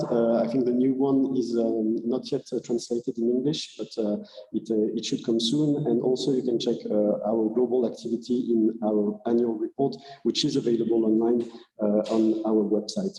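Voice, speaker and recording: A man with a French accent speaks at a moderate pace in a medium pitch with fairly even intonation, over noticeable background noise. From France. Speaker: research funding agency representative. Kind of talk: conference presentation. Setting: hybrid conference. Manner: halting, many fillers.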